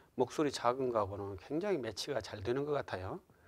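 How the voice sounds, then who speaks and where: Soft-spoken and at medium pitch, a man talks with lively intonation. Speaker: pastor. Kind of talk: lecture. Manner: halting, many fillers.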